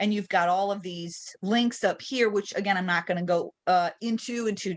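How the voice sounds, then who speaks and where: A normal speaking voice with ordinary pitch variation proceeds at a moderate pace, the background quiet. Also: woman. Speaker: real estate trainer. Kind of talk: tutorial. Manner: casual with fillers.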